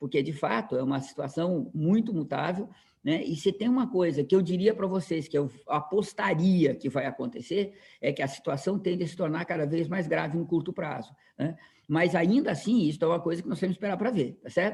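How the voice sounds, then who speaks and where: This man's voice is high-pitched and his intonation lively. He speaks at a fairly quick pace. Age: 60s. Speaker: professor. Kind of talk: lecture. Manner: halting, many repetitions and fillers.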